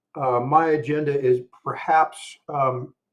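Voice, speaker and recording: The man here has a fairly high pitch. His voice is somewhat breathy. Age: 60s. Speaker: traveler. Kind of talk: casual chat. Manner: halting.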